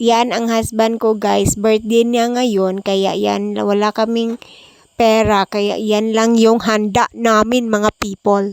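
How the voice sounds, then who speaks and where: Soft-spoken, a woman talks at a very slow pace in a fairly high pitch, with monotone, flat intonation. The sound is dry and close, with no echo. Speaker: vlogger. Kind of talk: vlog narration. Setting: voice over at night. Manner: soft-spoken, kept quiet.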